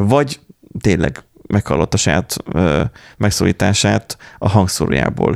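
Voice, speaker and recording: A man with a very deep, low pitch and vocal fry speaks at a fairly slow pace with lively intonation and long, frequent pauses. The sound is dry and close, with no echo. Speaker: podcast host. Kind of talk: casual chat.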